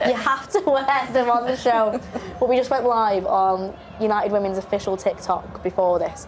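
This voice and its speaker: A woman speaks at a moderate pace with ordinary pitch variation and noticeable background noise. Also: fairly high pitch for a woman, very even loudness. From regional UK. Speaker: presenter. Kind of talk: live match watchalong commentary. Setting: studio. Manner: animated.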